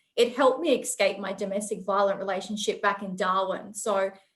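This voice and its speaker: The woman talks fairly quickly. Her voice sits fairly high. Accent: Australian. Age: young. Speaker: procurement professional. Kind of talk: panel interview.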